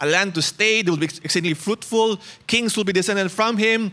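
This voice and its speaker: A man's raised, projected voice, high in pitch and bright and sharp in tone, at a fairly quick pace with ordinary pitch variation. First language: Cebuano. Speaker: pastor. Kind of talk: sermon. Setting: church.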